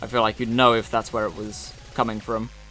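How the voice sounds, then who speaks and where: A man speaks with a slight British accent. Noticeable background noise is present. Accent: slight generic British. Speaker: streamer. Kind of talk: casual live stream chat while drawing.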